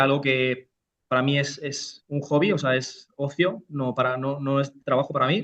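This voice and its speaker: Here a man speaks at a moderate pace with a fairly high pitch. His intonation is fairly even. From Spain, Almería (Andalusia). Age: 30s. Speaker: real estate investor and entrepreneur. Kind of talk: interview. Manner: halting, many repetitions.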